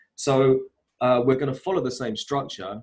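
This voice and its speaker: Here a man speaks at a fairly quick pace. His voice sits at a medium pitch and sounds somewhat breathy. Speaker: wellbeing coach. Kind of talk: online workshop presentation. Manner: fast.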